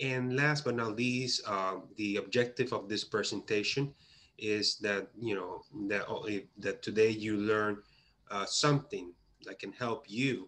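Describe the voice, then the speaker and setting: Speaking in a Puerto Rican accent, a man uses a medium pitch and a bright, sharp tone, keeping his intonation fairly even at a fairly slow pace. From Puerto Rico. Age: 30s. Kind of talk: conference presentation. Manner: halting, with many fillers.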